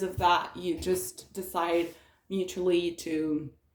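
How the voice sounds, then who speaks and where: A woman's medium-pitched voice at a very slow pace. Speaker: tarot reader. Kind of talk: tarot reading. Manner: hesitant, many fillers.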